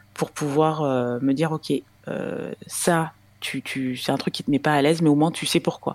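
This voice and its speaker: With fairly even intonation and at a moderate pace, a woman talks in a very deep, low voice. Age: 30s. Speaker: mother sharing breastfeeding experience. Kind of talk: interview testimony.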